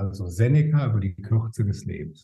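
With a slight Rhineland accent, a man talks at a moderate pace. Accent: slight Rhineland dialect tinge. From Rhineland, Germany. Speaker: time management expert. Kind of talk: podcast interview. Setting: remote call.

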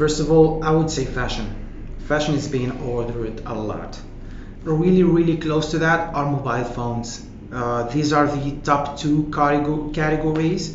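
Fairly slow speech from a man at a fairly high pitch, fairly even intonation, with noticeable background noise. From northern Morocco, Nador. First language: not English (self-taught English). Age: 20s. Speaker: marketing manager. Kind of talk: interview.

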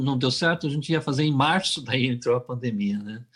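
The voice moves at a fairly quick pace with lively intonation. It sounds somewhat breathy. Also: man. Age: 60s. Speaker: singer-songwriter. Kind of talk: casual interview.

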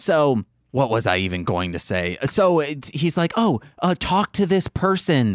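The voice moves at a fairly slow pace with very wide pitch swings on a very clean recording with a silent background. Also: man, very even loudness, dry, close sound with no echo. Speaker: podcast host. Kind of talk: casual banter podcast chat. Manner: joking, playful.

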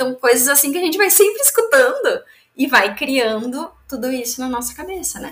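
Her pitch high, a woman speaks at a moderate pace with lively intonation. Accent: southern Brazilian. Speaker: entrepreneur and business mentor. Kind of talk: casual interview.

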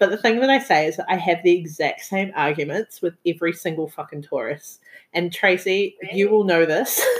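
In a New Zealand accent, a woman talks fairly quickly at a medium pitch with ordinary pitch variation. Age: 20s. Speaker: podcast host. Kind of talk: casual chat.

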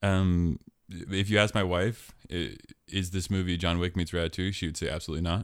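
In a very clean recording with a silent background, a man with an American accent and a very deep, low pitch talks at a fairly quick pace with fairly even intonation. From US Pacific Northwest (Portland, Oregon). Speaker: podcast host. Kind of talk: casual chat.

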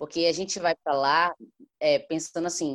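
Fairly quick delivery in a Bahian accent. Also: woman. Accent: Bahian Brazilian Portuguese. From Salvador, Bahia, Brazil. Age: 20s. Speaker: singer. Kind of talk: casual chat.

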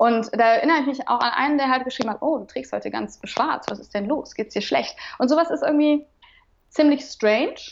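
High-pitched woman, fairly quick pace, ordinary pitch variation. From Remscheid, western Germany. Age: 30s. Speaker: radio presenter. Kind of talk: casual interview chat. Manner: hesitant, many fillers.

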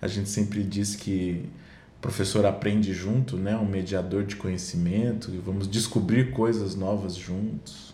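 Somewhat breathy and dark, mellow in tone, a man speaks at a fairly low pitch amid audible room echo. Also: fairly even intonation, fairly slow pace. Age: 40s. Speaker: children's music educator and performer. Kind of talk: casual chat.

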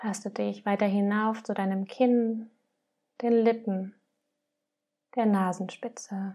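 A woman speaks in a calm tone with a dark, mellow sound and flat, monotone intonation. Her pace is very slow, with long, frequent pauses. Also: medium pitch for a woman. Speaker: podcast host and meditation guide. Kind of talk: guided meditation, gentle and inviting, addressing listener as du. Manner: slow, calm, soft-spoken, with long pauses between prompts; warm and nurturing, unhurried.

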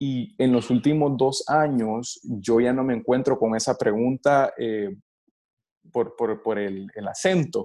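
Against a quiet background, a man with a Salvadoran accent talks very slowly at a medium pitch, his dark, mellow tone showing ordinary pitch variation. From El Salvador. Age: 20s. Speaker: baseball pitcher and coach. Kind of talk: interview. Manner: halting, many repetitions.

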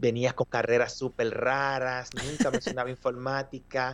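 Against a quiet background, an ordinary speaking voice moves at a moderate pace. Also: man. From Dominican Republic. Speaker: mobile software developer. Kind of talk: casual interview.

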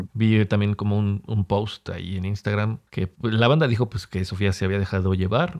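A man with a Mexican accent talks at a fairly quick pace with hardly any pauses, his fairly low pitch showing ordinary variation in a dry, close sound with no echo. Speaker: podcast host. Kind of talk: casual chat.

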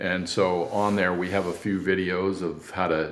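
A man with an American accent speaks in a very deep, low voice at a fairly slow pace. Room echo can be heard. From California. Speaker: cycling event founder and ad agency owner. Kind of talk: interview.

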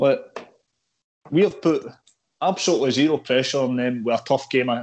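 Against a quiet background, a man with a Scottish accent speaks with lively intonation. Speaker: football podcast host. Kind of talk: casual chat. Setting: call.

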